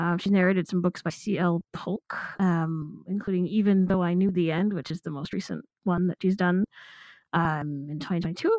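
With an ordinary speaking voice, a woman talks at a moderate pace and fairly low pitch, her intonation fairly even, in a dry, close sound with no echo on a very clean recording with a silent background. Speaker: audiobook commentator. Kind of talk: casual chat discussing a narrator.

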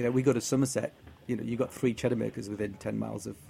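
A man in a northeast English accent talks at a very fast pace with medium pitch. His intonation is fairly even, with music in the background. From northeast England. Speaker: cheese tour organizer. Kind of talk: casual chat.

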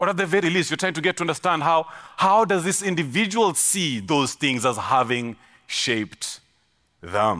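A man's fairly high voice with vocal fry, very wide pitch swings, very even loudness and a moderate pace. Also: very clean recording, silent background. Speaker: pastor. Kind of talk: sermon. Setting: stage with audience. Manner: repeats words, some stammering.

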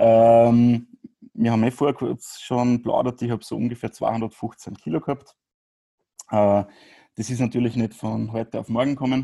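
A man's dark, mellow voice at medium pitch, fairly slow, with fairly even intonation and long, frequent pauses. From Upper Austria, Grieskirchen. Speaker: podcast guest sharing experience with binge eating. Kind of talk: interview.

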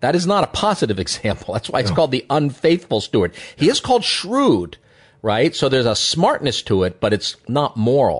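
Against a quiet background, a man talks at a fairly quick pace. He has an unremarkable speaking voice at a medium pitch. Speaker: economist and columnist. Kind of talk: radio interview discussion.

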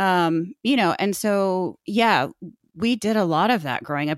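In a very clean recording with a silent background, a woman speaks with a Midwestern American accent and ordinary pitch variation. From Indiana. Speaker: podcaster and blogger. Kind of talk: casual interview.

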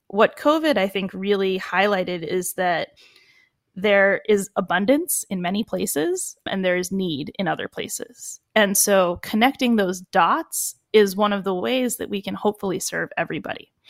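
A woman with an American accent and a medium pitch speaks at a moderate pace with ordinary pitch variation in an ordinary speaking voice, on a very clean, dry, close recording with a silent background and no echo. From Boston, US. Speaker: chef and restaurant entrepreneur. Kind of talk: interview.

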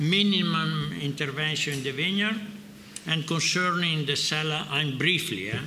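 A man speaks with an Italian accent and ordinary pitch variation. Noticeable background noise runs behind him. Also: fairly high pitch for a man, moderate pace. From Piedmont, Italy. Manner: halting, searching for words.

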